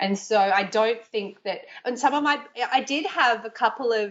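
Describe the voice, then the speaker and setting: Moderate-paced speech from a woman in an Australian accent. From Australia, Brisbane. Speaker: yoga teacher and Chinese tutor. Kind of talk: interview. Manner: conversational, with fillers and restarts.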